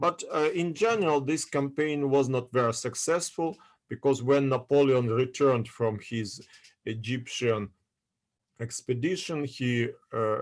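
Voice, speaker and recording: In a Russian accent, a man talks at a medium pitch with ordinary pitch variation. His pace is fairly slow. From Odessa, Ukraine. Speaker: history lecturer. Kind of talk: lecture. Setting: video call. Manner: halting.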